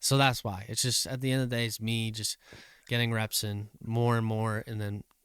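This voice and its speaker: Speaking at a moderate pace and a medium pitch, a man holds a monotone, flat intonation on a very clean recording with a silent background and a dry, close sound with no echo. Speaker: podcast co-host and disc golfer. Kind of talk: casual chat. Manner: loud.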